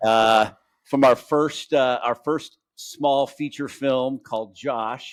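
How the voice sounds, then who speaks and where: His pace is very slow. The man's pitch sits in the medium range. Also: fairly even intonation. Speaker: podcast host.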